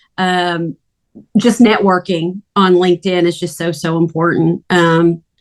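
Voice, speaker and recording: A woman's fairly low, flat voice with a Southern US accent, fairly slow, in a dry, close sound with no echo. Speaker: freelance recruiter. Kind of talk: casual group video meeting.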